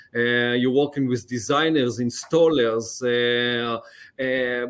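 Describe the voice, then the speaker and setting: A man with an Israeli accent speaks at medium pitch. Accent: Israeli accent, often mistaken for French. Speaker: lighting company account executive. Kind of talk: podcast interview. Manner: halting, many fillers.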